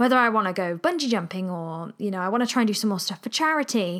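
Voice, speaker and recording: A woman with an English accent speaks at a very fast pace with an animated tone and lively intonation in a medium pitch. The recording is very clean, with a silent background. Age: 20s. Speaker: podcast host and musician. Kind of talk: casual solo monologue. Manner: chatty, animated.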